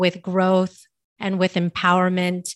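Recorded with a dry, close sound and no echo against a quiet background, the woman speaks at a medium pitch. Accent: American. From US West Coast, San Francisco Bay Area. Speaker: podcast host and mindset coach. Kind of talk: casual interview chat. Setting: remote call.

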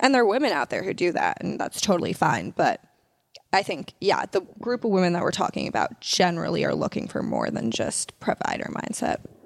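Vocal fry runs through this woman's voice at a fairly quick pace. Her intonation is lively. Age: 20s. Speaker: podcast co-host. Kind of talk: casual chat.

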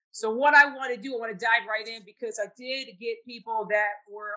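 At a moderate pace, a woman talks in a fairly high-pitched voice with a bright, sharp tone and fairly even intonation. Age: 40s. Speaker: podcast host. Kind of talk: casual chat.

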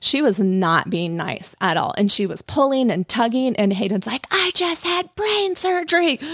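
Moderate-paced speech in an American accent, amid noticeable background noise. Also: woman, high pitch for a woman. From Colorado. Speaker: hairstylist. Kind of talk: casual chat.

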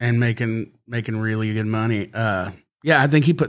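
A man with an American accent and an ordinary speaking voice talks fairly quickly at medium pitch with ordinary pitch variation, on a very clean recording with a silent background. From Fort Worth, Texas. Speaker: musician. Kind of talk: casual chat.

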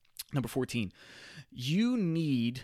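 Recorded very cleanly against a silent background, a man speaks fairly slowly with lively intonation in an ordinary speaking voice. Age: 30s. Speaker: fitness podcast host. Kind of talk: solo podcast monologue. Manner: casual, filler-heavy.

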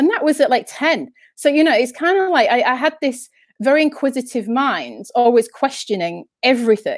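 Recorded very cleanly with a silent background, a woman with a northern English accent speaks at a moderate pace, her high voice full of lively intonation. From Yorkshire, northern England. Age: 30s. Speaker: spiritual speaker and author. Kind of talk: casual interview. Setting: live stream.

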